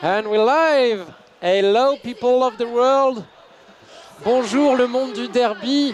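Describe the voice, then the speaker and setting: Long, frequent pauses and ordinary pitch variation over noticeable background noise. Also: man. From France. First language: French. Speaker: sports commentator. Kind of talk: live commentary. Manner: halting, with many fillers.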